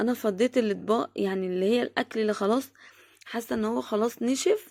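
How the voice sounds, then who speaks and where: A woman with an Egyptian accent talks at a moderate pace, her fairly high pitch showing ordinary variation. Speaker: vlogger, homemaker. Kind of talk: home routine vlog narration. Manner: halting, many fillers.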